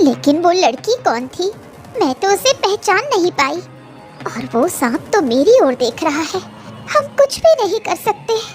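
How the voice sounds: An extremely high, cartoonish character voice with very wide pitch swings, against clear background noise. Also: moderate pace.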